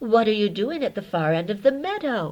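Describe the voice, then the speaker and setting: Using a put-on character voice, a woman talks at a fairly quick pace and a fairly high pitch. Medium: read story. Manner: warm, motherly.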